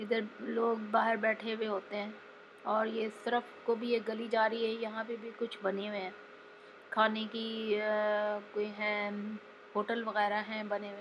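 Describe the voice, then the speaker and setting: Over light background noise, a woman speaks at a fairly slow pace in a flat monotone, with long, frequent pauses. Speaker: travel vlogger. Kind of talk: casual vlog chat. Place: street. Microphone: phone near.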